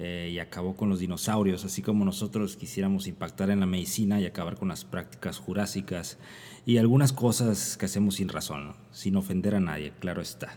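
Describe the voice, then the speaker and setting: Dark and mellow in tone, a man's very deep, low voice moves at a fairly quick pace with ordinary pitch variation. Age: 30s. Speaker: physician, internist and nephrologist podcast host. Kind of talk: casual chat. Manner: halting with frequent fillers.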